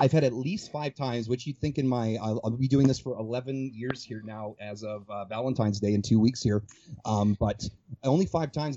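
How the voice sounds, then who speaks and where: A man at medium pitch, with ordinary pitch variation. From Calgary area, Canada. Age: 30s. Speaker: fitness coach. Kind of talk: casual chat. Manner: fast talker.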